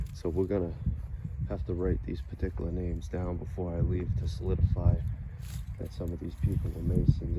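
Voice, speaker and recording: With audible room echo, a man with a Massachusetts accent talks at a fairly quick pace in a very deep, low pitch. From Massachusetts, US. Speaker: video blogger and songwriter. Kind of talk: walking vlog narration. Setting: outdoors in a cemetery. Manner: casual, rambling with self-corrections.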